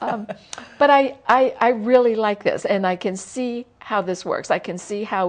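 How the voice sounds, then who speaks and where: A woman talks at a fairly slow pace. Her pitch varies in an ordinary way. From US South. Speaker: talk show host for writers. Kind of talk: interview.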